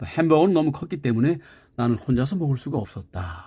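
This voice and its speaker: A man's somewhat breathy, fairly high voice with a dark, mellow tone. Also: very clean recording, silent background. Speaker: English teacher. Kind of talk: lecture.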